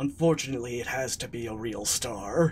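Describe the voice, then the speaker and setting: In a put-on character voice, a man speaks raspily at a medium pitch and a fairly quick pace. Clear background noise runs underneath. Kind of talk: comic mock-mysterious. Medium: actual play. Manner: dryly self-deprecating.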